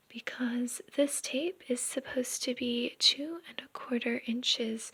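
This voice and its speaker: Soft-spoken and high-pitched, a woman talks with ordinary pitch variation. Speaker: sewing content creator. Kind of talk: tutorial. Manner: quiet, soft-spoken; hesitant with fillers.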